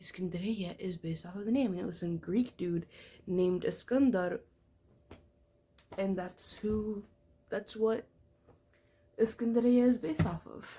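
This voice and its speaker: A woman with a medium-pitched, somewhat breathy voice and a dark, mellow tone speaks at a moderate pace with ordinary pitch variation, big swings in loudness and long, frequent pauses. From Egyptian family, Arabic-speaking background. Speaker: book vlogger. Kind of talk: casual vlog talk about a book. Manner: casual, filler-heavy.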